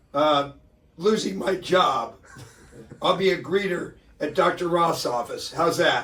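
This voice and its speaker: With noticeable background noise, a man speaks at a high pitch with ordinary pitch variation. His pace is fairly slow, with long, frequent pauses. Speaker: radio host. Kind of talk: radio talk show banter. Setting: radio studio. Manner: animated.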